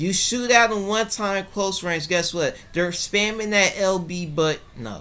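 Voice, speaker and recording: A man projects a raised voice with a bright, sharp tone, a high pitch and ordinary pitch variation. He speaks at a fairly slow pace with hardly any pauses. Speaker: gaming YouTuber. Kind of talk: rant. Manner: animated.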